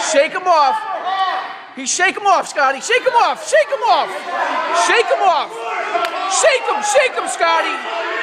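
Long, frequent pauses break up the speech over loud background noise. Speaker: wrestling coach or corner spectator. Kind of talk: live wrestling coaching shouts from the sideline, rapid repeated commands. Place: hall. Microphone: phone near.

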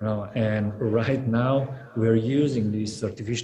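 Light background noise sits behind a man whose dark, mellow, somewhat breathy voice stays at a medium pitch, moving at a fairly slow pace with monotone, flat intonation. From Slovenia. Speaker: gallery curator; panelist. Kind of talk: panel discussion. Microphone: video call.

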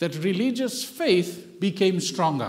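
At a fairly slow pace, a man speaks with lively intonation. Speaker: visiting pastor. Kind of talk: sermon. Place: church.

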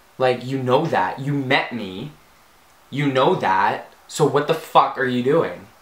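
A man at a very slow pace, with audible room echo. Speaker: comedy vlogger. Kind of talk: profanity-laced angry rant to camera. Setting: home video recording with soft box lighting. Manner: exasperated, swearing, rambling with filler ums; animated, bubbly and gushing. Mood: annoyed, animated ranting. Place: home room. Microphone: camera far.

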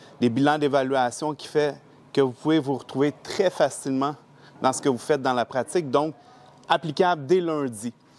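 With a Quebec accent, a man speaks at a moderate pace in a fairly high pitch with fairly even intonation. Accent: Québécois French. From Quebec, Laval. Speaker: training participant, institute owner. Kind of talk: testimonial. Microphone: lapel.

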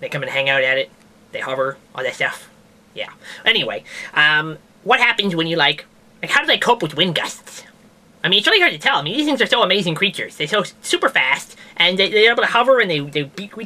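A cartoonish character voice at a middle pitch and a very fast pace. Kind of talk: comedic science news show. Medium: puppet. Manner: rambling, hesitant, casual.

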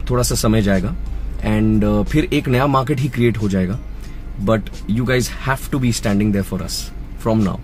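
With faint music in the background, a man talks at a moderate pace with long, frequent pauses, in a dry sound with no echo. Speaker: Hindi dubbing voice actor. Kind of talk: interview answer. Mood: earnest, encouraging. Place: car. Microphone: phone near.

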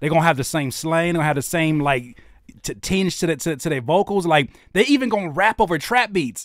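In a quiet background with a dry sound and no echo, a man with an American accent speaks at a high pitch and a fairly quick pace, his tone animated and his intonation lively. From Los Angeles area, Southern California. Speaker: independent rapper, producer and YouTube host. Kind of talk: casual livestream interview. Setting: livestream studio. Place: studio. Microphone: studio mic.

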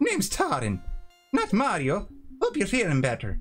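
Someone uses a put-on character voice at a moderate pace, with faint music playing in the background.

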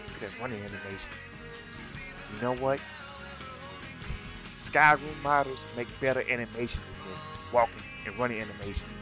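A man speaks at a moderate pace with a medium pitch and ordinary pitch variation. Music plays in the background. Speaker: gamer. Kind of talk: casual gameplay commentary. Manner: irritated, ranting.

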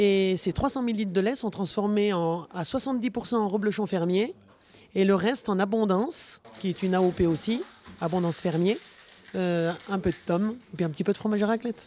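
A woman talks at a moderate pace in a dark, mellow tone. Her pitch is medium, with ordinary variation. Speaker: dairy farmer. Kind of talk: casual interview.

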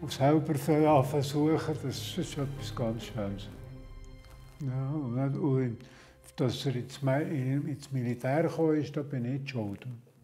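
A man at a medium pitch and a very slow pace, with fairly even intonation and faint music in the background. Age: 80s+. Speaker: retired civil engineer and search-and-rescue dog trainer. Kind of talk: interview answer, reminiscing. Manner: casual, hesitant. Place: home room.

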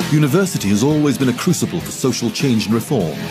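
At a fairly quick pace, a man talks over clear music in the background. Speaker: voice actor. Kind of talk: documentary narration. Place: studio.

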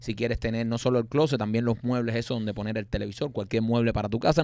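The voice belongs to a man. It has a medium pitch. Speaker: comedy podcast co-host. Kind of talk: casual comedic chat. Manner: animated.

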